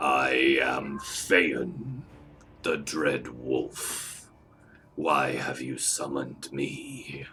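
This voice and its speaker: A man puts on a character voice at a very deep, low pitch, gravelly, raspy and growling. He speaks very slowly. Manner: menacing, dread.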